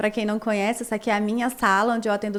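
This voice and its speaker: Fairly high-pitched female speech, very clean and set against a silent background. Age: 30s. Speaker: dermatologist. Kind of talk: personal storytelling vlog. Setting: her consulting room.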